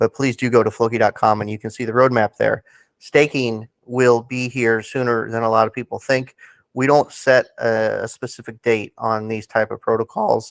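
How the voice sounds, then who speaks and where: A man speaks at medium pitch and a moderate pace. His intonation is monotone and flat, with a dry, close sound and no echo. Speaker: crypto project team member. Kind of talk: interview.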